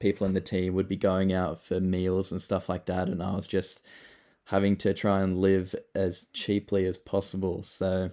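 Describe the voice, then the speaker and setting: Speaking at a moderate pace, a man with an Australian accent has a very deep, low pitch. His tone is dark and mellow, and his intonation is monotone and flat. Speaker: project founder, former pro footballer. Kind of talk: casual online AMA talk. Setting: online voice call. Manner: casual with many fillers.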